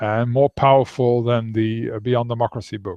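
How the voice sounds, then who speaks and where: Fairly even in intonation, a man with a Dutch accent talks at a medium pitch and a moderate pace. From Netherlands. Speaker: author. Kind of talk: interview. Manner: halting.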